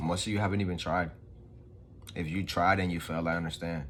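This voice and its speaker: Audible room echo surrounds a man's voice. He speaks in a New York accent at a very deep, low pitch. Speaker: vlogger. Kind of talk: motivational talk. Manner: casual, unscripted.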